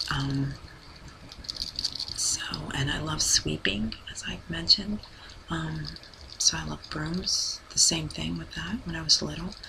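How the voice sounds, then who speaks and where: A soft-spoken woman talks at a fairly slow pace with long, frequent pauses and big swings in loudness. Noticeable background noise is present. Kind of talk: soft-spoken ASMR talk. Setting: home recording with a poor mic.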